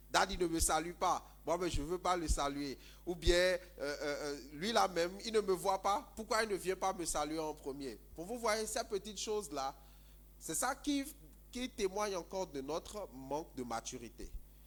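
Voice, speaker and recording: With lively intonation, a man speaks in a high-pitched voice. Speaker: pastor. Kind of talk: sermon. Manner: halting, many fillers and repetitions.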